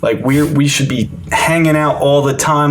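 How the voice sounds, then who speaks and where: Audible room echo and noticeable background noise surround a man with an American accent who speaks at a fairly slow pace and a fairly high pitch. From Maryland, US. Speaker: recovering addict sharing his story. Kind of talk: personal testimony in podcast interview. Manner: loud; casual, filler-heavy.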